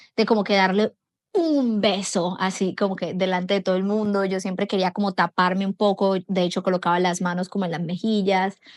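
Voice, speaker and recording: Over a quiet background, a woman's ordinary speaking voice comes at a fairly quick pace and medium pitch with fairly even intonation, in a dry, close sound with no echo. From Colombia. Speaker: foreigner sharing experiences of Brazil. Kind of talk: personal testimony.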